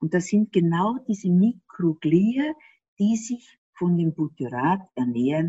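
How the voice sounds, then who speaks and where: A somewhat breathy woman at a fairly low pitch and a fairly slow pace. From Austria. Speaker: gut health expert. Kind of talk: interview.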